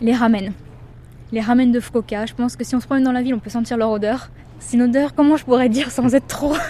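Amid noticeable background noise, a woman with a high pitch talks at a very fast pace, her intonation fairly even. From Paris region, France. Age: young. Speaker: French expatriate, tourism website worker. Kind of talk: casual interview.

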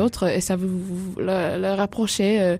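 This woman's pitch is in the middle range. The tone comes across dark and mellow. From Australia (Perth). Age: young. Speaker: sailing adventurer and author. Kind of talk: radio interview. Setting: studio. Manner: halting.

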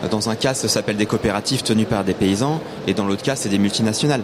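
Very fast delivery with ordinary pitch variation over noticeable background noise. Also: man. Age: 40s. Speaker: organic market gardener. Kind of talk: radio panel discussion. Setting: live broadcast from an agricultural fair stand.

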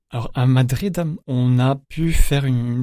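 A man with a dark, mellow tone talks at a medium pitch. His voice is somewhat breathy, with ordinary pitch variation. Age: 20s. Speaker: pilgrim. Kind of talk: testimony. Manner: halting.

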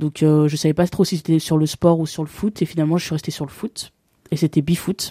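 The voice has a dark, mellow tone, monotone and flat, at a fairly quick pace. The sound is dry and close with no echo, in a very clean recording with a silent background. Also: woman, very deep, low pitch for a woman. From France, Bourg-en-Bresse (Ain). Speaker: sports journalist. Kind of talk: interview. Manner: hesitant, many fillers.

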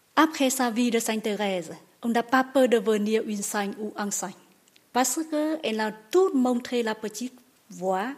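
A woman's fairly high voice shows ordinary pitch variation as she talks fairly slowly. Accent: Vietnamese. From Vietnam. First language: Vietnamese (speaking French). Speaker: nun, basilica receptionist. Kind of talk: interview. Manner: halting.

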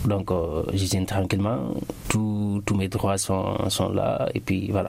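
A man at a fairly low pitch and a fairly slow pace, with fairly even intonation and noticeable background noise. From Guinea, Boké region (Lower Guinea). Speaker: immigrant guest. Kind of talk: radio interview. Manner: halting.

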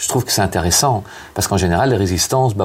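Through noticeable background noise comes a man's fairly low voice with ordinary pitch variation. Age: 50s. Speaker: author and hospital chaplain. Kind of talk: interview. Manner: halting, many hesitations.

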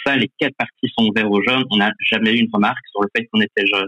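The man speaks with fairly even intonation. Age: 20s. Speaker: youth politician. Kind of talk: radio debate.

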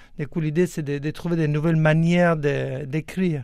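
A man speaks at a fairly slow pace with a fairly high pitch, recorded very cleanly against a silent background. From Argentina. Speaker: juggler and choreographer. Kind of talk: radio interview. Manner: halting.

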